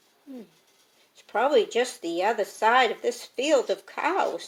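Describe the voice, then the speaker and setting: A woman uses a put-on character voice that is croaky. Her pitch is high. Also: moderate pace. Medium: read story.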